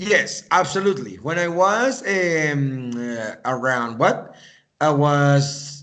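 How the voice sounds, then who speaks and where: A man with a Spanish accent, fairly high in pitch, with lively intonation and audible room echo. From Venezuela, raised partly in US and Canada. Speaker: English teacher. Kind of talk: conversation practice interview.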